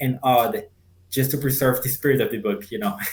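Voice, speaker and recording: A man with a Spanish accent speaks in a fairly high voice that is somewhat breathy. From Colombia (Cartagena). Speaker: translator and community member. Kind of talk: interview conversation.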